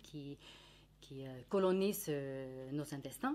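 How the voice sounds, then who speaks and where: A woman speaks with a Finnish accent. Her pace is very slow. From Finland. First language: Finnish (speaking French). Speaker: nutritionist. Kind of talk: educational talk. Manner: halting, many hesitations.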